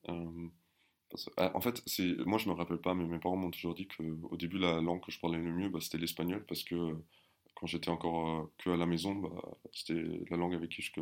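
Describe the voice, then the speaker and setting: A man's very deep, low voice at a fairly quick pace, with monotone, flat intonation. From Germany, with 11 years in France. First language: German (speaking French). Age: 20s. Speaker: army officer. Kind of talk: casual interview. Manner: hesitant, many repeated words.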